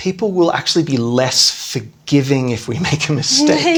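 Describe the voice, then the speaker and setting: A man with an Australian accent delivers his words at a moderate pace. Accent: Australian, non-rhotic. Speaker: podcast host, language teacher. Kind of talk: educational podcast chat. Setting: podcast recording.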